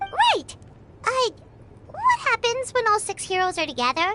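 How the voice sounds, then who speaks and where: At a moderate pace, a woman does a squeaky put-on character voice at an extremely high pitch with lively intonation, and background noise is clearly heard. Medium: video game. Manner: casual, curious.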